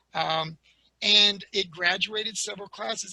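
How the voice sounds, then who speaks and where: The voice is raised and projected, with ordinary pitch variation. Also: man. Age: 60s. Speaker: osteopathic medicine historian. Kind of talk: webinar lecture. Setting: online webinar.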